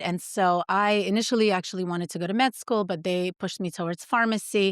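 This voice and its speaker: With a Russian accent, a woman speaks at a fairly quick pace. Her pitch is medium. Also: dry, close sound with no echo. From Soviet Union, moved to US at ten. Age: 40s. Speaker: pharmacist and supplement founder. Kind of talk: podcast interview.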